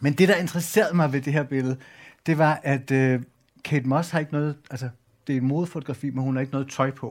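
A man with a plain, everyday voice, fairly high in pitch and fairly quick in pace, in a very clean recording with a silent background. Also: fairly even intonation. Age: 40s. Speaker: journalist and culture editor. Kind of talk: public talk on stage.

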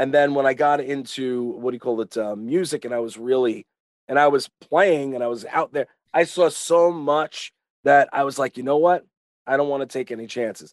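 In a New York accent, a man speaks with a fairly high pitch and ordinary pitch variation, the sound dry and close with no echo. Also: moderate pace. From Long Island, New York. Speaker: retired pro wrestler. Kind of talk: casual chat. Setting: video call.

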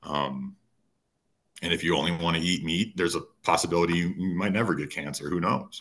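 Delivered at a fairly quick pace with vocal fry and fairly even intonation, the speech is broken by long, frequent pauses. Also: man, very deep, low pitch for a man. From rural Minnesota. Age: 30s. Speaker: writer and lifestyle coach. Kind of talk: casual interview. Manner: hesitant, many filler words.

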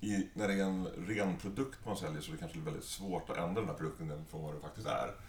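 A man with a very deep, low pitch uses lively intonation, with audible room echo around him. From Stockholm, Sweden. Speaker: entrepreneur. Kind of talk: interview.

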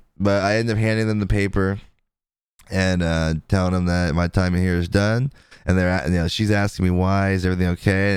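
On a very clean recording with a silent background, a man with a very deep, low pitch talks at a very fast pace with fairly even intonation. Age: 30s. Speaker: podcast host. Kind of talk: casual chat.

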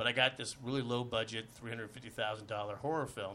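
A bright, sharp voice with an American accent, fairly even intonation and a fairly quick pace. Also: man. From Los Angeles, US. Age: 50s. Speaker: actor. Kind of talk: casual chat. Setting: studio.

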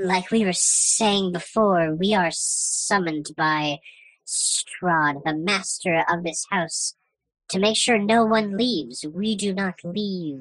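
In a put-on character voice at middle pitch, the speaker goes at a very slow pace. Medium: actual play. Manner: meek, overly polite.

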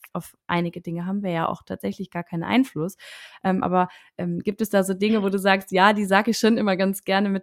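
In a very clean recording with a silent background, a woman with an unremarkable speaking voice talks at a moderate pace and medium pitch, the sound dry and close with no echo. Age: 30s. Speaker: podcast host and coach. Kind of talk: interview.

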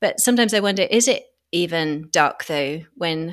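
A woman with a British accent speaks at medium pitch and a moderate pace. Her recording is very clean, the background silent. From Britain. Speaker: podcast host. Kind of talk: interview.

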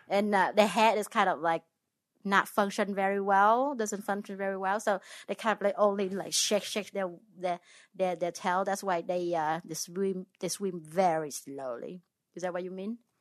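A woman's medium-pitched voice with a Vietnamese accent, ordinary pitch variation and a moderate pace, against a quiet background. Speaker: host's ex-wife. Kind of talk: casual chat. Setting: home recording in a bedroom. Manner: put-on radio voice.

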